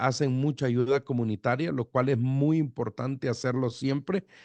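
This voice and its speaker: The sound is dry and close with no echo, and the background is quiet. A man speaks at a medium pitch. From El Salvador, Metapán near Guatemala border. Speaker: pastor. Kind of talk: radio interview. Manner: halting.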